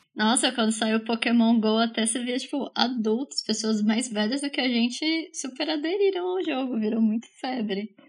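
A woman with a normal speaking voice and fairly high pitch talks at a moderate pace, with ordinary pitch variation and hardly any pauses. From Brazil, Bauru (São Paulo state). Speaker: podcast co-host. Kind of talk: casual chat.

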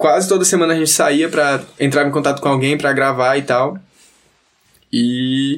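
A man with a fairly high pitch speaks at a moderate pace, leaving long, frequent pauses. His loudness is very even and his intonation fairly even. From Northeast Brazil, Teresina, Piauí. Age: 20s. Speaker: kitesurfer and surfer. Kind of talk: casual chat.

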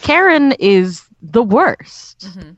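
A woman talks at a very slow pace. Her pitch swings very widely. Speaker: podcast co-host. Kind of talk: casual chat.

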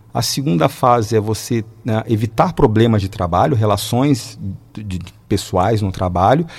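A man speaks with ordinary pitch variation at a fairly low pitch. His voice is somewhat breathy. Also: moderate pace. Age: 40s. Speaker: mechanical engineer and teacher. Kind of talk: radio interview.

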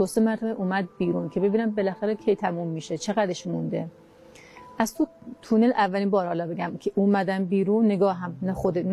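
A woman's medium-pitched voice at a very fast pace, with fairly even intonation and noticeable background noise. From Kermanshah, Iran (Kurdish). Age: 40s. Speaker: near-death experiencer, homemaker. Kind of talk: personal testimony interview. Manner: halting.

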